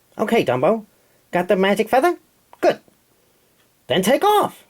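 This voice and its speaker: A man's put-on character voice, high in pitch with very wide pitch swings, at a moderate pace. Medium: read story. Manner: brash, fast-talking.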